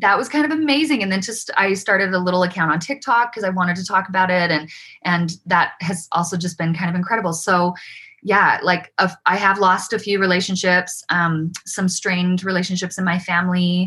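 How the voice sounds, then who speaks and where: With a Utah accent, a woman speaks at a medium pitch in a bright, sharp tone. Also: ordinary pitch variation, fairly quick pace. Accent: American, Utah. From Utah, Provo. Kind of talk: interview, personal story.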